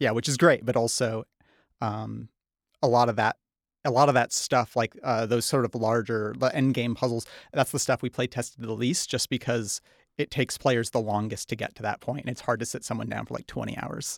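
A man with an American accent, medium pitch and vocal fry, at a fairly quick pace with fairly even intonation, on a very clean recording with a silent background and a dry, close sound with no echo. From northern Michigan. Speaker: game developer. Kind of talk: casual interview.

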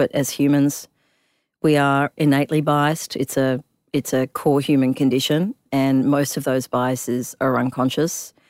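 A woman with an Australian accent speaks at a moderate pace in a very deep, low voice, recorded dry and close with no echo. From Perth, Western Australia (immigrated from Africa when young). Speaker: tech startup founder and CEO. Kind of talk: interview.

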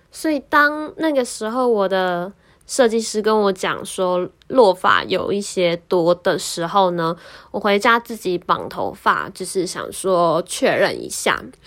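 A woman's medium-pitched voice in a Taiwanese accent, with lively intonation and a very slow pace, on a very clean recording with a silent background. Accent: Taiwanese Mandarin. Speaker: podcast host. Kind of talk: casual monologue.

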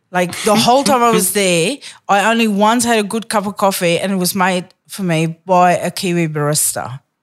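A woman with a South African accent and a medium pitch speaks with ordinary pitch variation and hardly any pauses. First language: Afrikaans. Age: 40s. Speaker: comedian. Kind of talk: casual chat. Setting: studio. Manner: fast talker.

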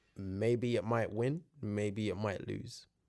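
A man with a London accent speaks at a very slow pace in a fairly low pitch. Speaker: podcast guest. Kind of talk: casual chat.

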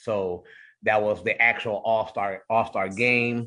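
Medium-pitched male voice with an American accent, a bright, sharp tone and fairly even intonation, over a quiet background. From Cleveland, Ohio. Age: 40s. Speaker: arena public address announcer. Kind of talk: radio interview.

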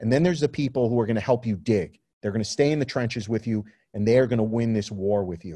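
A man with a New York accent talks at a very fast pace, his pitch medium and his tone dark and mellow. His pitch varies in an ordinary way over a quiet background. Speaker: photographer and magazine publisher. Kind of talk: interview conversation.

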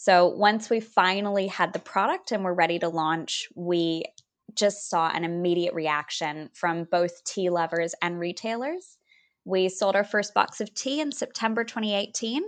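In a quiet background, a woman with a Californian accent speaks at a medium pitch and a fairly slow pace. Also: ordinary pitch variation. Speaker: business founder. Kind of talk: interview.

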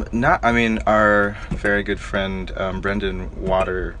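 A man speaking very slowly with an American accent, amid noticeable background noise and audible room echo. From Florida. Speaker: band guitarist. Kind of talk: casual chat. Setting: parked tour van.

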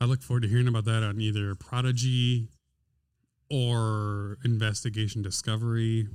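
At a moderate pace and very even loudness, a man talks in an ordinary speaking voice. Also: medium pitch for a man, fairly even intonation. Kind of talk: casual banter podcast. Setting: video recorded podcast.

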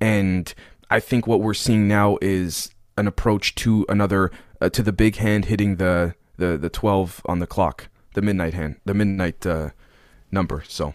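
A man's fairly low voice at a moderate pace, fairly even in intonation, in a very clean recording with a silent background. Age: 20s. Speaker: podcast host and conspiracy researcher. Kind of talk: casual interview chat. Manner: halting, many fillers and restarts.

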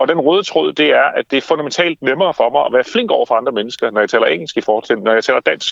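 A man talks at a very fast pace with hardly any pauses. His loudness stays very even. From Denmark, Funen (Haarby), from age six. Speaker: author and campaign founder. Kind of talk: interview. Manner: animated.

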